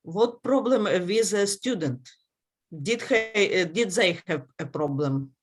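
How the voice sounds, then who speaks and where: With a Ukrainian accent, a woman talks at a fairly slow pace. Her medium pitch swings very widely. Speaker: conference session chair. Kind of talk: conference Q&A discussion. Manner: halting, many hesitations.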